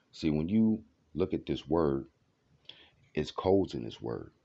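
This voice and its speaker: This man's tone is dark and mellow, carried at a moderate pace. His intonation is lively. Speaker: video blogger. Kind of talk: casual monologue.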